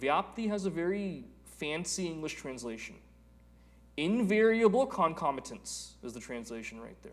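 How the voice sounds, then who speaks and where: Speaking at a fairly slow pace, a man with a high pitch makes very wide pitch swings, and the room echo is audible. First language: Telugu. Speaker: Vedanta teacher. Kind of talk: lecture.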